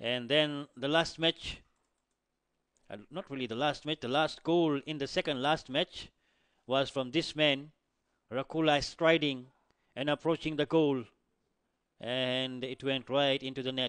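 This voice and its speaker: Against a quiet background, a man with a fairly high pitch speaks slowly and fairly evenly, leaving long, frequent pauses, the sound dry and close with no echo. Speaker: sports commentator. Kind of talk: live-style sports commentary narrating goal highlights. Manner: fluent but with filler hesitations.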